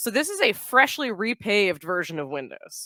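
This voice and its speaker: With a Boston accent, a woman's bright, sharp voice is heard in a dry, close sound with no echo on a very clean recording with a silent background. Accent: Boston, drops consonants. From US Northeast, Boston. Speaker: software product manager. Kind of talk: conference talk. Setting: stage with audience. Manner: casual, filler-heavy.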